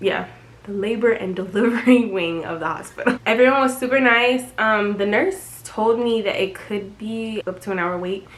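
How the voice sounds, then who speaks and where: A woman with a fairly high pitch talks amid audible room echo and noticeable background noise. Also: ordinary pitch variation, moderate pace. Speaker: vlogger. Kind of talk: casual vlog narration. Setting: hospital room.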